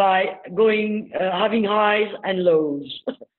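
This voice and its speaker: A woman's very slow speech in a French accent, with ordinary pitch variation. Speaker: business speaker. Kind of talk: webinar talk.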